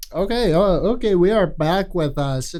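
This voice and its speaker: A man talks at a moderate pace with lively intonation and a dark, mellow tone, and the room echo is audible. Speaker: podcast host. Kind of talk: casual interview chat. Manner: halting, stammering.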